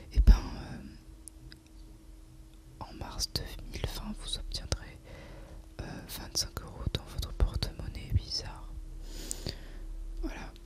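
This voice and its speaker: A woman whispers at a very slow pace, with long, frequent pauses, big swings in loudness and noticeable background noise. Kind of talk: ASMR gameplay commentary. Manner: whispered.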